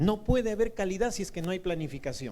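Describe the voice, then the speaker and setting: Audible room echo surrounds a man with a high pitch speaking at a moderate pace. His tone is dark and mellow yet shrill. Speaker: university lecturer. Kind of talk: lecture.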